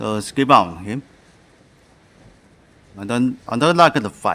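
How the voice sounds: The voice has a bright, sharp tone and lively intonation, moving at a slow pace. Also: man, medium pitch for a man.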